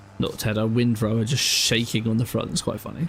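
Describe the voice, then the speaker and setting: At a moderate pace, a man talks with medium pitch over noticeable background noise. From southern England. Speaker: gaming streamer. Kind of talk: casual live stream chat. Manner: chatty, rambling.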